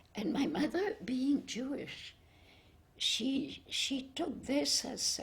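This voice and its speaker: A woman with a high voice and lively intonation speaks very slowly amid noticeable background noise. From Cambodia and Vietnam, French family. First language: French. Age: 80s+. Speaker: spiritual devotee. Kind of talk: interview. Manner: halting.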